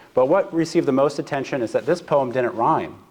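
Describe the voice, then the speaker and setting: Against a quiet background, a man with a fairly high pitch talks at a fairly quick pace with ordinary pitch variation. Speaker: seminary professor. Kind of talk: lecture. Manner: hesitant, frequent fillers.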